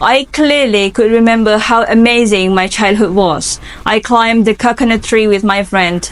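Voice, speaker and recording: With an Indonesian accent, a woman talks at a fairly slow pace and a fairly high pitch, her intonation fairly even over noticeable background noise. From Indonesia, Lampung. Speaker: English student. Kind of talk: interview answers.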